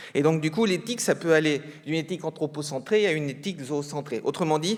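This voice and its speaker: Very fast and fairly high-pitched, a man talks with ordinary pitch variation. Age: 60s. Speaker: research scientist, ethologist. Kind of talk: conference talk. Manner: hesitant, many fillers.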